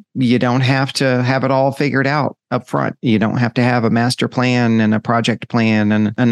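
In a dry, close sound with no echo, a man with an unremarkable speaking voice talks at a moderate pace and medium pitch, his loudness very even. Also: quiet background. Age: 50s. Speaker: podcast host. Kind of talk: solo reflective monologue. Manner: casual with frequent fillers.

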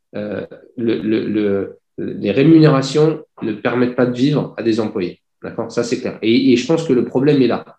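A man in a plain, everyday voice, medium pitch, ordinary pitch variation, fairly slow pace. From France, Paris region. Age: 40s. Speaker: industrial company founder. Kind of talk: interview. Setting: video call.

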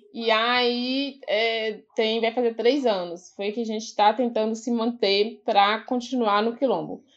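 A woman with an ordinary speaking voice, fairly high in pitch, at a fairly slow pace with hardly any pauses and fairly even intonation, against a quiet background. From Vale do Mucuri, Minas Gerais, Brazil. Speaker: quilombola educator. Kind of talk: casual interview conversation.

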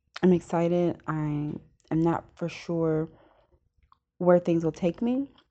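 A woman speaks very slowly with long, frequent pauses, her pitch fairly low. Her tone is dark and mellow, with ordinary pitch variation. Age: 30s. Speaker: self-improvement podcast host. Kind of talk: solo podcast monologue. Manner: casual, conversational with fillers.

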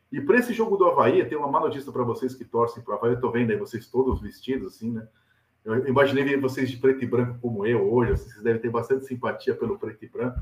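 Talking at a very fast pace, a man with a medium pitch sounds somewhat breathy and shows ordinary pitch variation. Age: 40s. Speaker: football journalist and pundit. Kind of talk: casual chat. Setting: video call. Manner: animated.

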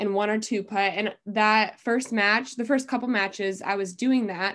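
With an American accent, a woman speaks at a moderate pace with a fairly high pitch and monotone, flat intonation. The background is quiet. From Iowa, US Midwest. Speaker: college golfer. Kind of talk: interview. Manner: casual with frequent fillers.

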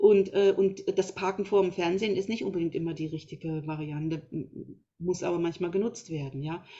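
At a moderate pace, a woman speaks in a plain, everyday voice at medium pitch with ordinary pitch variation. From Thuringia, Germany. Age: 50s. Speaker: naturopath. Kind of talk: interview.

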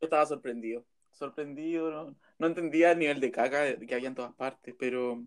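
A man with a Chilean accent talks at a fairly quick pace. His pitch is fairly high, with fairly even intonation. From Chile, Pomaire. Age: 20s. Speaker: journalism student. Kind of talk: casual chat.

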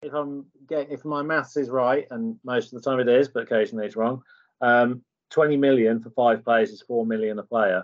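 At a fairly quick pace, a man with a British accent talks at a medium pitch. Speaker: podcast co-host. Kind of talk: casual chat.

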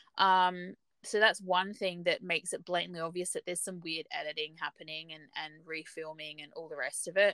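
A woman's fairly low voice, animated and fairly quick, with hardly any pauses and big swings in loudness. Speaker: podcast co-host. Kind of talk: casual discussion. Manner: animated, chatty.

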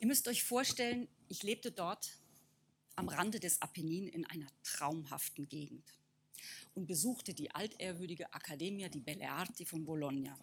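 An unremarkable speaking voice from a woman, fairly low in pitch, with lively intonation at a moderate pace. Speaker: artist. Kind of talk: talk.

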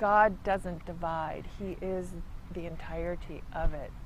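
A woman at medium pitch with vocal fry, monotone, flat intonation, big swings in loudness and a fairly slow pace, amid audible room echo. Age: 50s. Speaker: church reading room attendant. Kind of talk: interview.

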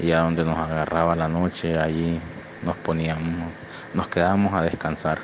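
A man speaks with a very deep, low pitch and monotone, flat intonation. His loudness stays very even over noticeable background noise. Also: moderate pace. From Honduras. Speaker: migrant. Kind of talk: testimony. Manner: halting.

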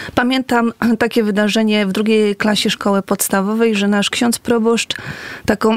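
In an ordinary speaking voice, a woman speaks at a moderate pace and a fairly high pitch, with a dry, close sound and no echo. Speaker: nun. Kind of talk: casual interview chat. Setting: radio studio.

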